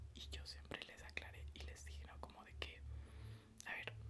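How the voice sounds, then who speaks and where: A man's very deep, low voice at a fairly slow pace, over noticeable background noise. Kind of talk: casual ASMR talk to camera, reflective. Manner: soft-spoken, whispering.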